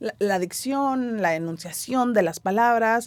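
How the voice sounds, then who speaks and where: In a dry, close sound with no echo, she talks with lively intonation. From Mexico City. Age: 30s. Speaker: stage actress. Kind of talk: interview. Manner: casual, conversational.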